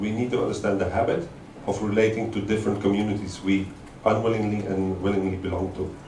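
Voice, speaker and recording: Audible room echo surrounds a man speaking at a fairly quick pace, his fairly low pitch carried with fairly even intonation. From Belgium. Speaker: artist-researcher. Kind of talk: lecture. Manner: halting, many fillers.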